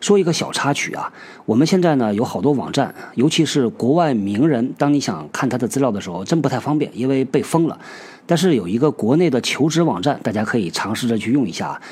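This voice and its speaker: Vocal fry from a man at medium pitch, with very wide pitch swings and a fairly quick pace. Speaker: podcast host on workplace topics. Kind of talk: casual monologue talk show.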